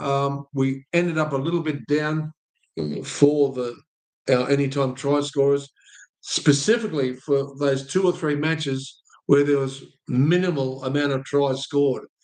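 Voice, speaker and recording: With an Australian accent, a man speaks fairly slowly in a fairly high pitch with fairly even intonation. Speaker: sports betting tipster host. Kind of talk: sports stats review monologue. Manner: halting, many fillers.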